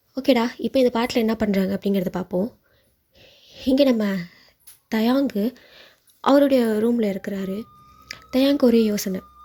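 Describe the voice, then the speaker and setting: A woman has an unremarkable speaking voice, pitched fairly high. Her pitch variation is ordinary. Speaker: fan fiction narrator. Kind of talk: read story narration. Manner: casual, chatty.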